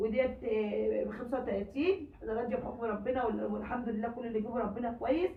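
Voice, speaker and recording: Amid noticeable background noise and audible room echo, a woman speaks at a high pitch and a fairly quick pace with ordinary pitch variation. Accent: Egyptian. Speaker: home cooking vlogger. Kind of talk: casual vlog talk to viewers. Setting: at home.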